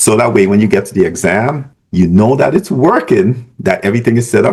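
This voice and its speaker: A man speaks in a Caribbean accent at a medium pitch. His voice moves through very wide pitch swings. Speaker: business professor. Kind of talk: tutorial. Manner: casual, conversational.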